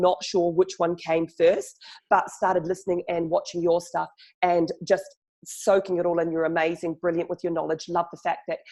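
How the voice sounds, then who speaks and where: Speaking in a New Zealand accent, a woman uses a fairly low pitch. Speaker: journalist and chatbot marketer. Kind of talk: podcast interview. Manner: fast.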